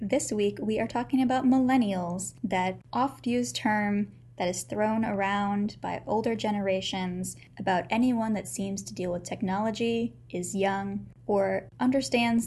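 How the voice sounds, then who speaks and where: Somewhat breathy, a woman talks at a medium pitch and a fairly slow pace with lively intonation. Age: 20s. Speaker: podcast host and librarian. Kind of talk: casual chat. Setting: home-recorded podcast with a small USB microphone.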